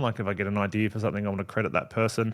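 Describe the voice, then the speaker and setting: Spoken with an Australian accent, this is a very clean recording with a silent background. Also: man. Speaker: wedding photographer and podcast host. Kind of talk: solo podcast Q&A. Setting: home studio. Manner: loud; casual, many fillers.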